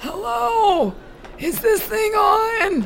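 Someone does a put-on character voice at a very slow pace, with clear background noise behind them.

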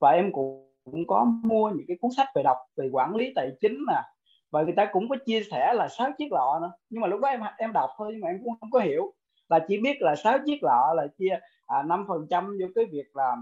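A man talks at a fairly quick pace in a high pitch with very wide pitch swings. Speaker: course participant. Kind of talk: testimony.

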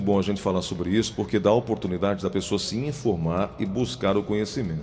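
At a fairly quick pace, a man with an ordinary speaking voice talks in a fairly low pitch with ordinary pitch variation. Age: 50s. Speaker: TV/radio health segment host. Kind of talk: interview.

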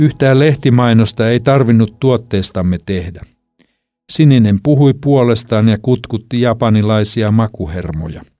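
A man talks at a fairly slow pace in a calm, dark, mellow tone. His pitch varies in an ordinary way. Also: medium pitch for a man. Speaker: audiobook author-reader. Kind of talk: literary audiobook reading, memoir narration. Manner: calm, measured, reflective storytelling pace.

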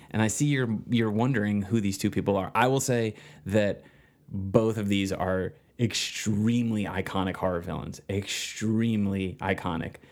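An ordinary speaking voice from a man with an American accent, fairly low in pitch, with fairly even intonation. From New Jersey. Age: 30s. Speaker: screenwriter and filmmaker. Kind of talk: casual interview chat.

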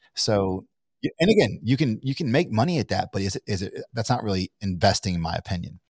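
Very fast and somewhat breathy, a man with an American accent talks in a fairly low pitch with lively intonation, the sound dry and close with no echo. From Kentucky, US. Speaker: entrepreneur. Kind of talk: casual interview. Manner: halting, many fillers and restarts.

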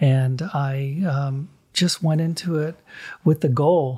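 In a very clean recording with a silent background, a man speaks at a fairly high pitch in a somewhat breathy voice with a dark, mellow tone and fairly even intonation. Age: 60s. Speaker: artist and gallery owner. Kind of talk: casual chat.

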